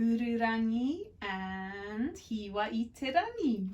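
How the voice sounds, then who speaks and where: A woman's somewhat breathy voice at a very slow pace, with ordinary pitch variation. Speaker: kindergarten teacher. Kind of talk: casual talk to children.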